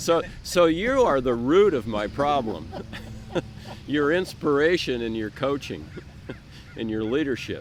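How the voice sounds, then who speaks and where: The intonation is lively. Noticeable background noise is present. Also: man, fairly high pitch for a man. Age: 60s. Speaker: open water swimmer, club member. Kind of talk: interview. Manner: halting, repeats words.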